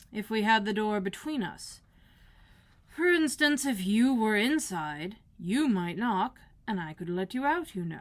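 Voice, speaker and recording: A woman uses a put-on character voice at a fairly high pitch. She speaks at a fairly slow pace with very wide pitch swings. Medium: read story. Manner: unbothered.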